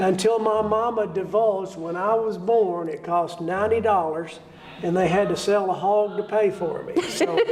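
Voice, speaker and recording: Moderate pace and fairly even intonation, with audible room echo and noticeable background noise. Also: man, high pitch for a man. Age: 60s. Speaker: bluegrass musician and event organizer. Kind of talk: interview. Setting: theater.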